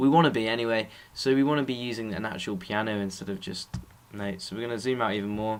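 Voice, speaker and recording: A man with an English accent speaks at a very fast pace. His medium pitch varies in an ordinary way. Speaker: music production tutor. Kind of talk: tutorial. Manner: casual.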